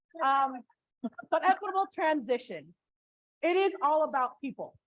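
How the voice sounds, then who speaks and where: A loud woman's voice with lively intonation. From Filipino heritage. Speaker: port commissioner. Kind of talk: panel discussion.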